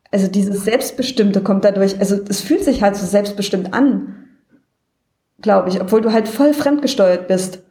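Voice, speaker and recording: Here a woman talks at a moderate pace in a normal speaking voice. Her pitch is medium, with ordinary variation. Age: 30s. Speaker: caller. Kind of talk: casual chat.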